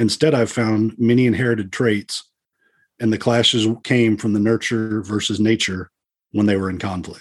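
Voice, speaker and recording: Using a Texan accent, a man speaks at a fairly low pitch and a moderate pace with fairly even intonation. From Texas, Dallas. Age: 50s. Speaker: police officer. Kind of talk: interview guest, personal story; reading aloud.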